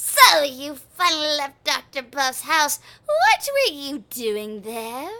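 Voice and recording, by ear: A woman's put-on character voice, high in pitch and at a fairly slow pace.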